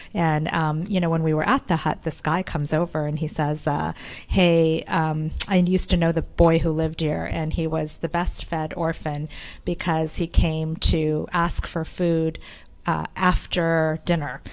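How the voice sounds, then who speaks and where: Speaking at a fairly slow pace with a Korean accent, a woman keeps a monotone, flat intonation at a very deep, low pitch. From Canada. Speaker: entrepreneur. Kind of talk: interview.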